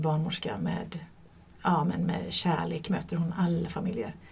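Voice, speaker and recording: A woman's voice comes across as somewhat breathy, with a dark, mellow tone. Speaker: midwife. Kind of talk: casual interview. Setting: studio, shared microphone.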